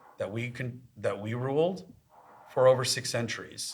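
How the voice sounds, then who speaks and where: In an American accent, a man with a plain, everyday voice speaks at a medium pitch with ordinary pitch variation. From US, Los Angeles. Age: 40s. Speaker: tech executive. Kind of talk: podcast interview.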